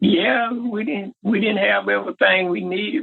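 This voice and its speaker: A man speaks at a fairly slow pace with a Southern US accent. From Southern United States. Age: 80s+. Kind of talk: interview answer.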